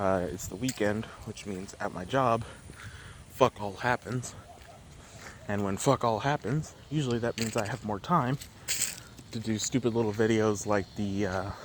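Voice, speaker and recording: There is noticeable background noise as a man speaks with long, frequent pauses. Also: fairly low pitch for a man, ordinary pitch variation, moderate pace. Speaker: vlogger. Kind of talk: casual monologue. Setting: outdoors, walking.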